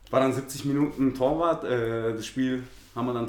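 Amid audible room echo and noticeable background noise, a man of medium pitch talks at a moderate pace with fairly even intonation. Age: 30s. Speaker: amateur footballer. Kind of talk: casual interview. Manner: hesitant, many fillers.

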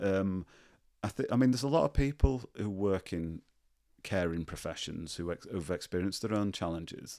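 With a Yorkshire accent, a man speaks at a moderate pace in a fairly low, dark, mellow voice. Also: lively intonation. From northern England, Leeds. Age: 40s. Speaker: nursing professor. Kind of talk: casual chat.

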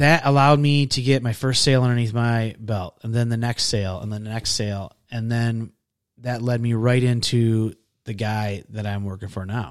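A man with an American accent and an unremarkable speaking voice, medium in pitch, at a moderate pace with fairly even intonation, on a very clean recording with a silent background. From Michigan. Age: 40s. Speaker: podcast guest, military veteran. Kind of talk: casual interview.

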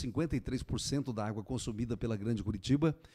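A man with a dark, mellow tone talks at a medium pitch with ordinary pitch variation, recorded very cleanly over a silent background. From interior of Paraná, Brazil. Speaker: mayor. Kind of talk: radio interview. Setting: radio studio.

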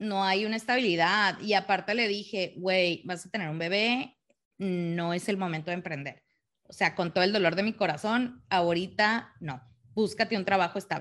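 Against a quiet background, a woman with a medium pitch and ordinary pitch variation talks at a moderate pace in an unremarkable speaking voice. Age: 30s. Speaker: mother, working professional. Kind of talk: casual chat.

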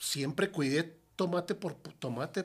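With ordinary pitch variation, a high-pitched man delivers his words fairly slowly. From Ciudad Juárez, Mexico. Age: 50s. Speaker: restaurant owner. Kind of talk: casual interview.

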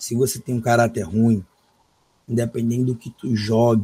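A man speaks at a medium pitch and moderate pace, his tone dark, mellow and somewhat breathy. His intonation is fairly even, and the sound is dry and close with no echo. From Brazil, São Luís (Maranhão). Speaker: gaming streamer. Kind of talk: casual interview.

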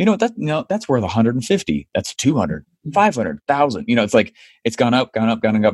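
The sound is dry and close, with no echo, as a man with an American accent talks at a moderate pace. His medium pitch swings very widely, with vocal fry. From United States. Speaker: online marketing entrepreneur. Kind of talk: interview.

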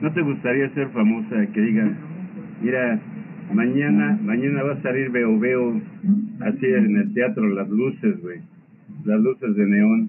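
Speaking fairly slowly with long, frequent pauses, a man of medium pitch swings his voice very widely up and down. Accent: Mexican. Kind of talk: casual chat.

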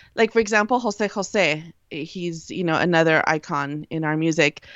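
The speaker has a Spanish accent. The pitch varies in an ordinary way. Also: woman. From US. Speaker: Spanish radio broadcaster. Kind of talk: casual chat.

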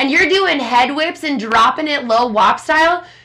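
In an American accent, a woman speaks with a raised, projected voice, a high pitch and an animated tone. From Minnesota, Minneapolis area. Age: 20s. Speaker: podcast host. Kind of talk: casual chat. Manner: loud.

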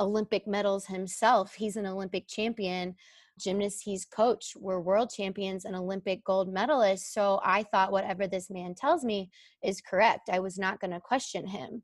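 In a plain, everyday voice, a woman speaks at a fairly slow pace with fairly even intonation on a very clean recording with a silent background. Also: dry, close sound with no echo. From Texas. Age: 30s. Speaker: former gymnast and coach. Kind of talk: interview.

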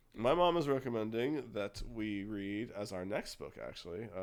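He has an ordinary speaking voice. The man's pace is moderate, and his pitch varies in an ordinary way. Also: fairly low pitch for a man. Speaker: podcast host. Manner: casual, rambling.

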